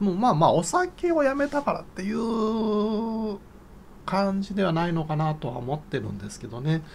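Light background noise sits behind a man with a high pitch. He speaks at a moderate pace, his pitch swinging very widely. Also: big swings in loudness. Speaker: YouTuber. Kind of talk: casual monologue. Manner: chatty. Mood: cheerful, laughing often. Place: home room. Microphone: phone near.

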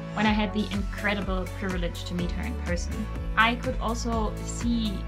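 A woman talks at a moderate speed while clear music sounds behind her. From Germany. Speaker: horse trainer. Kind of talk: casual talk to camera. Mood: warm, grateful. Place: home room.

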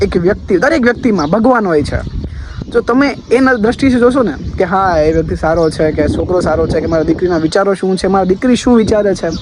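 Over noticeable background noise, a man speaks with a high pitch and lively intonation. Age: young. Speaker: vlogger. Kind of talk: personal vlog monologue.

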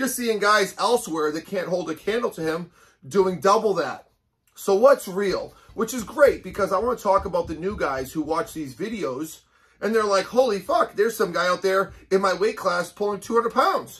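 Against a quiet background, a man with a high voice talks at a moderate pace and ordinary pitch variation. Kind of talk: casual vlog chat. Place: gym. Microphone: camera far.

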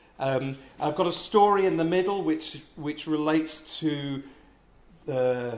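A man talks at a fairly slow pace, with audible room echo around him. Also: slightly mellow tone.

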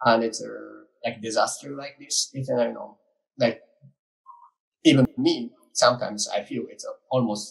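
In a Japanese accent, a man talks at a moderate pace with long, frequent pauses and big swings in loudness. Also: quiet background. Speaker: art collective communications director; panelist. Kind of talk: panel presentation. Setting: video call. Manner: halting. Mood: reflective, slightly downcast. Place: office. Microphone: video call.

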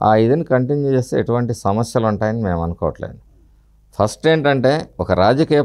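A man with an ordinary speaking voice at medium pitch, against a quiet background. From Palnadu region, Andhra Pradesh; Andhra Pradesh. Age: 50s. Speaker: opposition politician; politician interviewee. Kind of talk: interview. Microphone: lapel.

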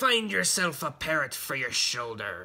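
A man puts on a character voice with a bright, sharp tone. He talks at a fairly slow pace with big pitch swings.

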